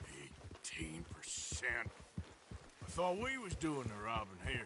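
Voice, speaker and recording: A man puts on a raspy character voice at a medium pitch, with very wide pitch swings and a fairly slow pace over clear background noise. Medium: video game. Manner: gravelly drawl, laconic.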